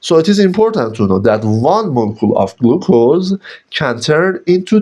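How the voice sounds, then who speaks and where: With a non-native accent, the speaker uses a dark, mellow tone, very wide pitch swings and a moderate pace. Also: man. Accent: non-native English pronunciation. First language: Persian. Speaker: biochemistry teacher. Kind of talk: lecture. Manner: halting.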